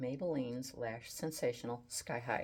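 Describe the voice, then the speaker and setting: Her tone is relaxed and her pace fairly slow. This woman speaks in a very deep, low pitch with ordinary pitch variation. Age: 70s. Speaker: beauty and style vlogger. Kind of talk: makeup tutorial. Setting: home photography studio. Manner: casual, relaxed.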